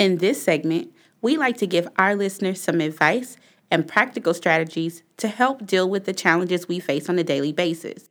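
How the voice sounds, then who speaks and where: In a very clean recording with a silent background, a plain, everyday voice with an American accent moves at a moderate pace with ordinary pitch variation. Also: woman, medium pitch for a woman. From Texas, Waco. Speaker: podcast host. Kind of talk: scripted advice segment; interview.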